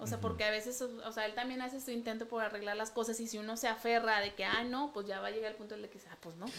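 Amid noticeable background noise, a woman speaks very fast with hardly any pauses, her fairly high voice flat and monotone. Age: 30s. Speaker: pastor's daughter, wife. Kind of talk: casual chat.

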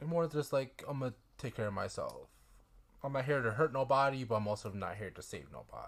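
Talking at a very fast pace, a man with a medium pitch and a somewhat breathy voice shows ordinary pitch variation. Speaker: podcast co-host. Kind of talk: casual chat.

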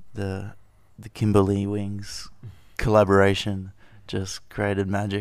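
A man at a fairly slow pace and fairly low pitch, monotone and flat, with long, frequent pauses, in a very clean recording with a silent background. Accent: Australian. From Perth, Western Australia. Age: 30s. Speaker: aerial photographer. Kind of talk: casual chat.

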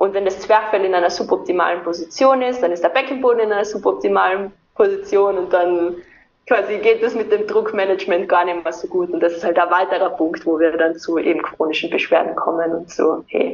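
With an Austrian accent, a woman speaks at a medium pitch. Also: ordinary pitch variation. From southern Austria (Carinthia). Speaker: movement and breathing coach. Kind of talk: interview.

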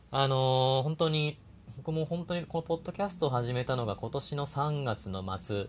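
Lively in intonation, a man's voice is somewhat breathy and fairly high-pitched. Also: moderate pace. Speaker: podcast host and labor-law consultant. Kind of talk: solo talk monologue. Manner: conscious of soft, gentle tone; many fillers, hesitant.

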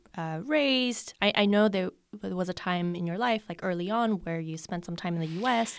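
The pace is moderate, with ordinary pitch variation in a plain, everyday voice. The recording is very clean, with a silent background. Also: woman, medium pitch for a woman. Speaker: podcast host. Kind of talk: interview.

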